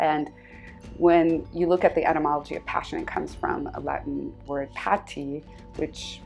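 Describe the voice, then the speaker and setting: The speaker has an American accent and talks at a moderate pace. Music plays in the background. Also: woman. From Southern California, USA. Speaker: scholar, journalist. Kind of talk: interview answer.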